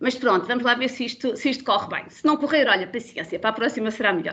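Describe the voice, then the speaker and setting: High in pitch, a woman talks at a very fast pace. Her pitch variation is ordinary. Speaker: biologist, bat conservation expert. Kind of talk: webinar presentation. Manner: loud, animated.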